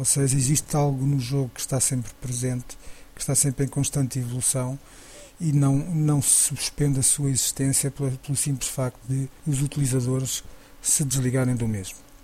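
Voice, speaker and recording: At a moderate pace, a man talks in a medium pitch with monotone, flat intonation. His loudness stays very even. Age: 40s. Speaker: podcast host. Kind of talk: solo podcast commentary. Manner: halting, with repetitions.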